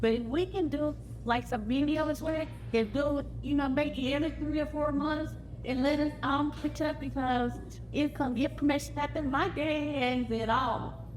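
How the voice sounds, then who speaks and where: Audible room echo surrounds a woman whose loudness stays very even. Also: moderate pace. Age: 60s. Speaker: family reunion attendee. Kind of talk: casual talk to a gathering. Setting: family reunion gathering.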